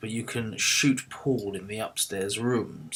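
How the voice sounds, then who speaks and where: Putting on a gruff character voice, a man speaks at medium pitch and a fairly slow pace. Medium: game stream. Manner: gruff, terse.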